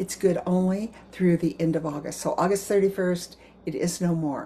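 A woman speaks at a moderate pace with an American accent, her pitch fairly low and her voice somewhat breathy. The tone is dark and mellow, with light background noise. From US. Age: 80s. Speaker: direct sales consultant. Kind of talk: sales pitch. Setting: video message. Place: kitchen. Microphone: webcam.

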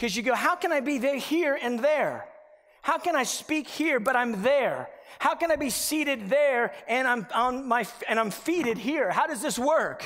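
Against a quiet background, a man speaks at a moderate pace. His pitch is extremely high, with ordinary variation. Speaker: preacher. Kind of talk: sermon. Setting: church. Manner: animated; earnest, conversational preaching. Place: church. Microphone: headset.

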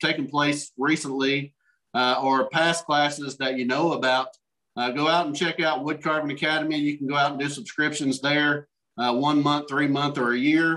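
A man speaks at a moderate pace in a bright, sharp tone with flat, monotone intonation. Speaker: meeting host. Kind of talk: meeting announcements. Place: home room. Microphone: video call.

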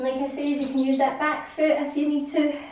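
Light background noise and audible room echo are present in the recording. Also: woman. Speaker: fitness instructor. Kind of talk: guided follow-along workout coaching. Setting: home or studio video. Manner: casual, conversational, repeating cues. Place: home room. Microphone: camera far.

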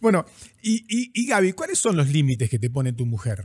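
Over a quiet background, a man speaks at a moderate pace with a fairly high, somewhat breathy voice and very wide pitch swings. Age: 50s. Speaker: podcast host. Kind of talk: interview, casual chat. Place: studio. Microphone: studio mic.

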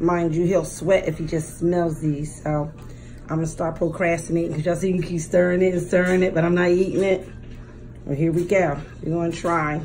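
A woman talks at a fairly quick pace in a fairly low pitch. Her intonation is monotone and flat, with music in the background. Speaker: mukbang vlogger. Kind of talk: casual vlog chat. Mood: warm, a bit nervous. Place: home room. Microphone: phone near.

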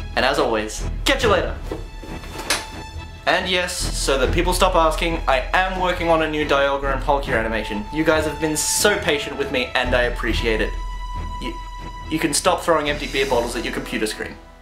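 A man's voice with long, frequent pauses and clear music in the background. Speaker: comedy channel creator. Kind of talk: casual talk to camera. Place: home room.

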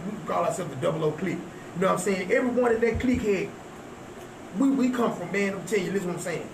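Man in a Southern US accent, high-pitched with ordinary pitch variation, a very fast pace and long, frequent pauses, amid noticeable background noise. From Texas. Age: 40s. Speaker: rapper. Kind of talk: casual chat.

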